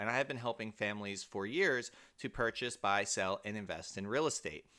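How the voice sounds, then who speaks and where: A man talks at a fairly quick pace with a bright, sharp tone. The recording is very clean, with a silent background. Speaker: mortgage broker and real estate agent. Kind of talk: tutorial. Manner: fast.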